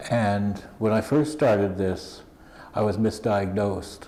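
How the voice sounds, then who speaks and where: Audible room echo surrounds a man talking at a fairly slow pace with fairly low pitch. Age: 60s. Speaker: interviewee. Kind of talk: interview.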